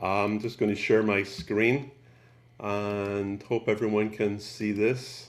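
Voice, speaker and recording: In a Scottish accent, a man talks at a very slow pace and a fairly low pitch, with monotone, flat intonation. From Scotland, Glasgow. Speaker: photographer. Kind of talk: presentation.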